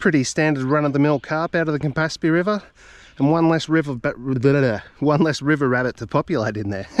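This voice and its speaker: Speaking very fast in an Australian accent, a man with a fairly high pitch comes across in a dry, close sound with no echo and a quiet background. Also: ordinary pitch variation. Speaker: fishing vlogger. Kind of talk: casual outdoor vlog narration. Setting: outdoors by a river. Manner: halting.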